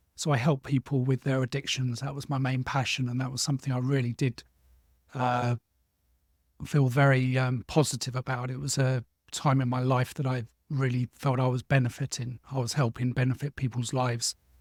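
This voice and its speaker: With a London accent, a man at medium pitch talks fairly quickly in a monotone, flat delivery that is somewhat breathy, recorded with a dry, close sound and no echo. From South London, England. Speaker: former social care worker, social media marketer. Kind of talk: interview. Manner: hesitant, many fillers.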